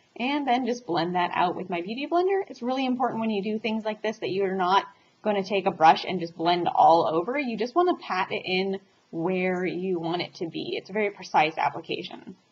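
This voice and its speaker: A woman speaks at a fairly quick pace with lively intonation. Her medium-pitched voice is somewhat breathy. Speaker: beauty vlogger. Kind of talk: makeup tutorial. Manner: fast; casual, chatty.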